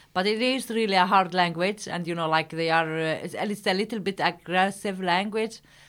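In a very clean recording with a silent background, a woman with an Arabic accent speaks at medium pitch with fairly even intonation and hardly any pauses. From Palestine. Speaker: company founder, engineer. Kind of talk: interview. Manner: halting.

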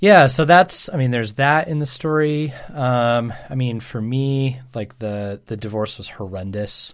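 A man with a normal speaking voice and medium pitch talks at a fairly slow pace with lively intonation and big swings in loudness, captured on a very clean recording with a silent background. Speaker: pastor. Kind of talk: casual chat.

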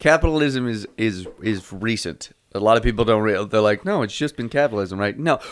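A man at medium pitch with a normal speaking voice, ordinary pitch variation and a fairly quick pace, on a very clean recording with a silent background. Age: 20s. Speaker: comedy podcast co-host. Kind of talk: casual chat.

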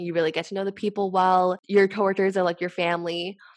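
A woman talks at a medium pitch. Music plays in the background. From Canada. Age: 20s. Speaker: startup e-commerce lead. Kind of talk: casual interview chat.

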